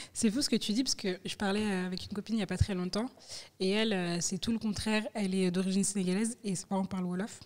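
A woman speaks very fast at a medium pitch, her intonation fairly even. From France. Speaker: interviewer. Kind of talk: interview conversation. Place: studio. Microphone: studio mic.

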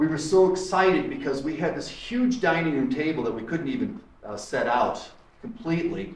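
Amid audible room echo, a man talks with very wide pitch swings. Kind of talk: casual tour guide talk. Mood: enthusiastic. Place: home room. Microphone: camera far.

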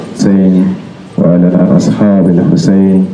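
This man has a fairly low-pitched voice. Light background noise and audible room echo come through. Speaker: speaker. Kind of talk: religious address and supplication. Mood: solemn, devotional. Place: street. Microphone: handheld.

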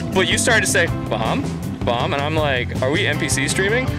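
Over loud music in the background, a man talks at a fairly quick pace in a dry sound with no echo. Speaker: esports commentator. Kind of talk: live esports commentary. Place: studio. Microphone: headset.

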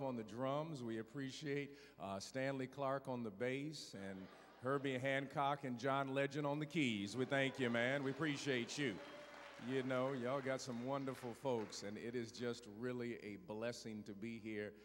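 A man talks at a moderate pace with fairly even intonation. Light background noise sits behind him. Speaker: guest preacher. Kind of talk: sermon opening remarks. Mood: warm, joking. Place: church. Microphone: handheld.

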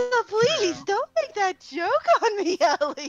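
Putting on a character voice, a woman speaks at a fairly slow pace at an extremely high pitch with very wide pitch swings. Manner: sassy.

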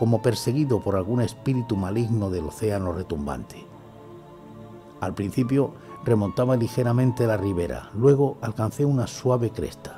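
Over clear music in the background, a man speaks at a medium pitch. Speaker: ASMR storyteller / narrator. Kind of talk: horror story reading, ASMR. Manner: whispering, soft.

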